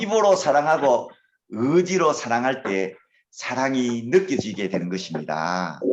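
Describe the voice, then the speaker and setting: A man speaks at a very slow pace with very wide pitch swings. Audible room echo surrounds his voice. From Gyeongsang Province, Korea. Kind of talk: lecture.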